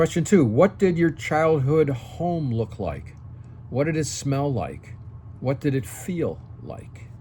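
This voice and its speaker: A man's somewhat breathy, dark and mellow voice, fairly high in pitch, with lively intonation at a very slow pace. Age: 60s. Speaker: senior lifestyle YouTuber and entrepreneur. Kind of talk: talking-head tutorial. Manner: casual, frequent okay fillers.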